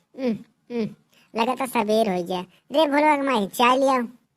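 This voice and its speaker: In a cartoonish character voice, a woman speaks at a high pitch and fairly quick pace on a very clean recording with a silent background. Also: ordinary pitch variation. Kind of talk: rustic comedy. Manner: grumbling, folksy.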